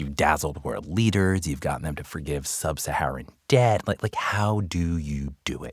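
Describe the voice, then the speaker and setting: A man with an American accent and vocal fry at a moderate pace, ordinary pitch variation, and a dry, close sound with no echo on a very clean recording with a silent background. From Long Island, New York. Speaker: author and former marketer. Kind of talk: casual interview chat. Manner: animated, humorous.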